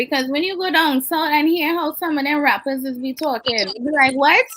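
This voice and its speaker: A woman with a Trinidadian accent, animated in tone, lively in intonation, at a moderate pace. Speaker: flight attendant, podcast co-host. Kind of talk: casual chat.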